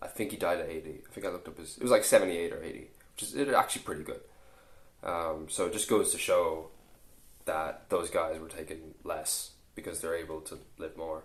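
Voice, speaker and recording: This man speaks at a fairly quick pace. He has an Irish accent. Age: 20s. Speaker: fitness coach and YouTuber. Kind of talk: casual vlog monologue. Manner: halting, many restarts.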